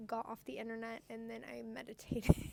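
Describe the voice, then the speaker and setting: A woman talks loudly at a fairly quick pace. Her pitch is high. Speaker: podcast co-host. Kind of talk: casual chat. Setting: inside a store.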